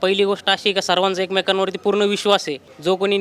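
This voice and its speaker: A man speaking in a high pitch is accompanied by noticeable background noise. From Yeola, Nashik district, Maharashtra. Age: 20s. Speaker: restaurant co-owner. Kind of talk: interview.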